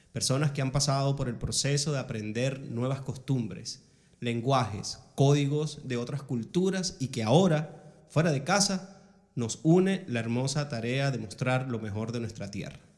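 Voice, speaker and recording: Somewhat breathy, the voice moves at a fairly slow pace with ordinary pitch variation. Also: man, medium pitch for a man. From Venezuela, Ciudad Bolívar. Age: 40s. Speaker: podcast host. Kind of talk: casual interview.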